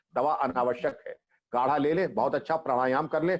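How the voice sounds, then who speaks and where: The intonation here is lively. It is a normal speaking voice, moving at a moderate pace. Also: man. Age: 60s. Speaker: retired police chief. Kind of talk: interview.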